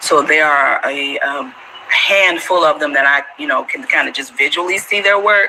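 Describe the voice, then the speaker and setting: A woman with an American accent speaks at a moderate pace. Background noise is noticeable. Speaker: Gullah culture interviewee. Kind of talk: casual interview chat.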